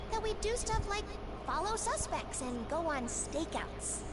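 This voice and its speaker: A woman's put-on character voice over loud background noise. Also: moderate pace. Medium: fan dub. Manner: earnest, bright.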